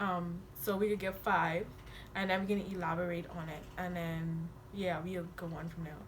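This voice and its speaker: A woman talks at a moderate pace with fairly even intonation, and the room echo is audible. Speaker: YouTuber. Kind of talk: casual chat. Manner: hard to understand when comfortable.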